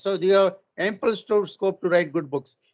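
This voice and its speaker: Speaking at a moderate pace, a man with a high voice shows ordinary pitch variation. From India. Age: 70s. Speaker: retired engineering professor. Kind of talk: webinar lecture. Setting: online webinar. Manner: halting.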